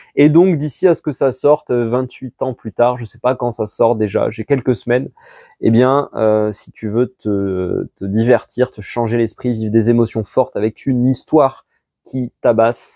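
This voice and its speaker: Fairly slow speech in an English accent with a dark, mellow tone and ordinary pitch variation, dry and close with no echo, on a very clean recording with a silent background. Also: man, medium pitch for a man. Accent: French with English-like vowels. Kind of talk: casual, conversational. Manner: friendly recommendation.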